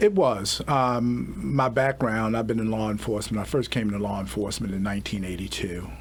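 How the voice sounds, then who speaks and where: A man with an American accent speaks in a fairly low pitch with ordinary pitch variation, hardly pausing, over noticeable background noise. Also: fairly quick pace. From Baltimore, Maryland. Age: 60s. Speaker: police chief. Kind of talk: radio interview. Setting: studio.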